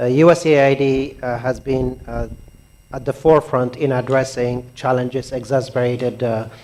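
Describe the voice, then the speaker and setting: At a moderate pace, a man speaks with a medium pitch in a monotone, flat way. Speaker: donor agency representative. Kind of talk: keynote speech. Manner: soft-spoken.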